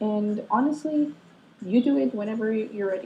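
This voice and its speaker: A woman's somewhat breathy voice, dark and mellow in tone, fairly high in pitch, at a fairly slow pace. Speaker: vlogger. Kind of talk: casual vlog monologue. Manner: rambling, hesitant with many ums.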